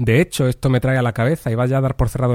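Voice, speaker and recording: A man's medium-pitched, dark, mellow voice at a very fast pace with monotone, flat intonation, in a dry, close sound with no echo and a very clean recording with a silent background. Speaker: writing workshop teacher. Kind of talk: lecture. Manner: careful diction.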